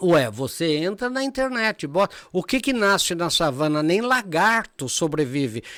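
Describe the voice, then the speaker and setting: In a very clean recording with a silent background, a man speaks fairly slowly at a high pitch, his tone animated and his pitch swinging very widely. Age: 70s. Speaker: professor and speaker. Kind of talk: podcast interview. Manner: animated, with many fillers and restarts.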